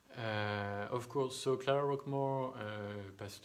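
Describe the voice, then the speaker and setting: A man with a strong French accent, fairly low pitch, fairly slow pace and fairly even intonation, plus audible room echo. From France. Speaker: thereminist. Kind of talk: live online Q&A. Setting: home live stream. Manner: halting.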